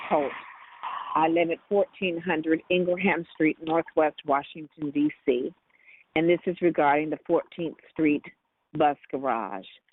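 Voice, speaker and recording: A woman with an unremarkable speaking voice, fairly low in pitch, at a fairly slow pace and with ordinary pitch variation. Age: 60s. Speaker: caller giving public comment. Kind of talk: public comment testimony.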